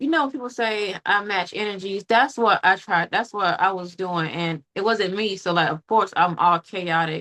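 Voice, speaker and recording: At a moderate pace with hardly any pauses, a woman speaks at medium pitch in a bright, sharp tone with ordinary pitch variation, the sound dry and close with no echo. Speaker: podcast host. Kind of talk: casual interview conversation. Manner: loud by nature, learned to speak calmer; calm.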